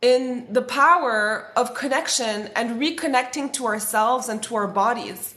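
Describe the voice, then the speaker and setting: A woman's high pitch with a French accent. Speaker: spiritual content creator. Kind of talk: livestream talk. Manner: casual, filler-heavy.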